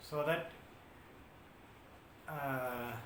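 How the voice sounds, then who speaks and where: A man talks in a monotone, flat intonation with a South Indian accent. The recording has audible room echo and noticeable background noise. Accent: South Indian (Tamil) English. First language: Tamil. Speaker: YouTuber. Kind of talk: casual talk to camera. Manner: halting, many filler sounds.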